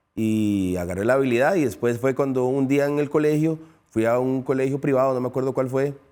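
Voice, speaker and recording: In a very clean recording with a silent background, a man talks at a fairly quick pace in a medium pitch with a dark, mellow tone, ordinary pitch variation and very even loudness. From Dominican Republic, raised in Costa Rica from age 9. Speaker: retired footballer. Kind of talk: interview. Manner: halting, repeats words.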